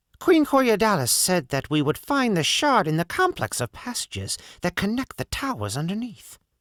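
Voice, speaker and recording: Using a put-on character voice pitched high for a man, he talks at a moderate pace with hardly any pauses, in a very clean recording with a silent background. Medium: read story. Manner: plainspoken, wry humor.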